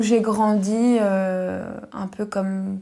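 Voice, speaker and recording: This woman talks in a medium pitch with a dark, mellow tone and a monotone, flat delivery. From Paris region, France. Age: 20s. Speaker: specialized educator. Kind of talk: testimony. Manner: halting, with frequent hesitations.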